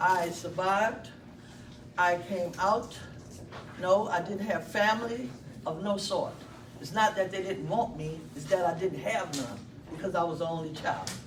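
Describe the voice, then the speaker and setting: The speaker has an American accent and talks at a fairly slow pace with long, frequent pauses. Noticeable background noise runs underneath. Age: 60s. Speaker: former prisoner. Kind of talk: public testimony.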